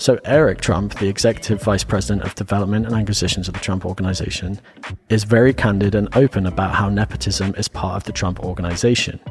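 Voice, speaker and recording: Someone with an English accent speaks at a very fast pace with ordinary pitch variation. Background noise is noticeable. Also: man, fairly low pitch for a man. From England. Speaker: podcast host. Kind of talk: casual podcast discussion with researched facts. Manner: reading notes.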